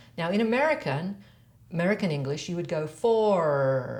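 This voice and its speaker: In an Australian accent, a woman speaks with lively intonation at a fairly low pitch. Audible room echo surrounds her voice. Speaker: voice and accent coach. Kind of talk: tutorial.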